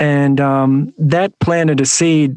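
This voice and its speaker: Here a man speaks at a fairly high pitch. His intonation stays fairly even. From Australia, western Sydney. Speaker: monk and nonprofit founder. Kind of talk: interview.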